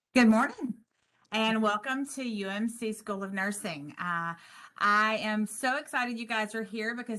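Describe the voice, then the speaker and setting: A woman's fairly high, bright and sharp voice with a Southern US accent, ordinary pitch variation and a moderate pace. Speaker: nursing instructor. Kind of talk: orientation presentation.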